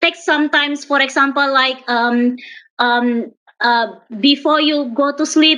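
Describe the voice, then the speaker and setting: A high-pitched woman speaks with an Indonesian accent and fairly even intonation. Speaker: young pharmacist, panel speaker. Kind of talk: panel discussion answer. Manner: halting, many fillers.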